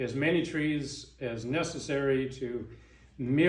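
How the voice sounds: This is a natural reading voice. It stays that way throughout.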